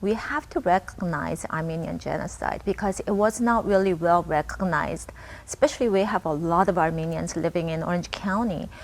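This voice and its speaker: Using ordinary pitch variation, a woman talks at a moderate pace in a Korean accent. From Japan (born in Korea). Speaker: local politician. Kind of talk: interview.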